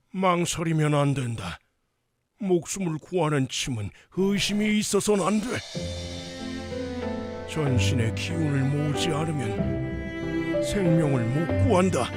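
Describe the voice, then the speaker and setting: Over loud background music, a man uses a put-on character voice, loud and fairly high, fairly slow, with very wide pitch swings. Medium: audio drama. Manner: archaic, commanding speech.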